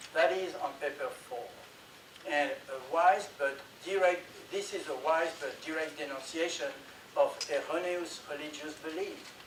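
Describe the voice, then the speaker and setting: High in pitch, a man speaks at a fairly slow pace with ordinary pitch variation. The room echo is audible and the background noise is noticeable. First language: not English. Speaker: conference presenter. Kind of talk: presentation.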